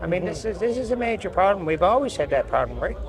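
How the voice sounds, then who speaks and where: A man with a Newfoundland accent at a fairly quick pace, amid noticeable background noise. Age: 80s+. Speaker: construction industry veteran. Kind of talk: podcast interview. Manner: halting.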